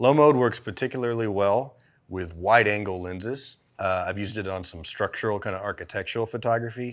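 Against a quiet background, a man with an American accent speaks in a fairly low voice with ordinary pitch variation and big swings in loudness. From Southern United States. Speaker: creative director. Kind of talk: product instructional. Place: studio. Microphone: lapel.

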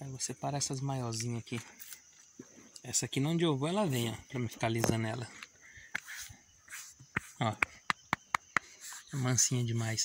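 A man speaks at a moderate pace with ordinary pitch variation, leaving long, frequent pauses. The sound is dry with no echo, though background noise is noticeable. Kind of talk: casual vlog chat. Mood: warm, affectionate. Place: farm. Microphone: phone near.

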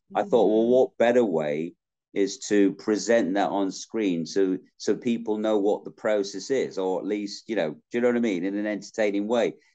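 In a Yorkshire accent, a man talks at a moderate pace with a fairly low pitch, fairly even intonation and a dark, mellow tone over a quiet background. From South Yorkshire, England. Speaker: actor. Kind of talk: interview answer. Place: home room. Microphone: video call.

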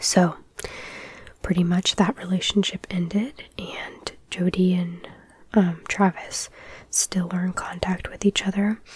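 A soft-spoken woman at a medium pitch and fairly slow pace, with fairly even intonation and long, frequent pauses. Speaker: ASMR true crime storyteller. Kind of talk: casual true crime storytelling.

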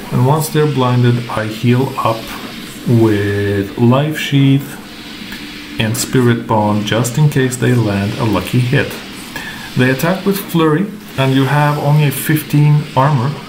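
Pausing long and often, a man with a non-native accent speaks at a fairly slow pace in a medium pitch with ordinary pitch variation, noticeable background noise behind him. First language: not English. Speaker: gaming content creator. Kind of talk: tutorial. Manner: hesitant, filler words.

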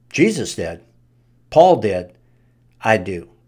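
With a quiet background, a man talks very slowly at a fairly low pitch. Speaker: Bible teacher. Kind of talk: Bible study teaching. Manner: casual. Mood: earnest, preaching. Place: home room. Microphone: studio mic.

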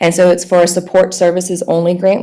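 A woman talking at a very fast pace. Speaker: nonprofit director. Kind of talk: presentation. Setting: board meeting.

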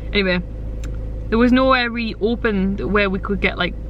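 A woman at medium pitch, fairly quick, with ordinary pitch variation and clear background noise.

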